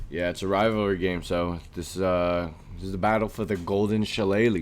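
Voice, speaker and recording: Audible room echo follows a man who speaks with a very deep, low voice at a moderate pace. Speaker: sports podcast co-host. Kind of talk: casual chat. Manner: animated.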